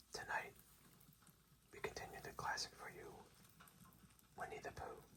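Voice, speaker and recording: A man whispers at a moderate pace. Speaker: ASMR bedtime story reader. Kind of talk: ASMR intro to listeners. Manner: whispered, soft-spoken.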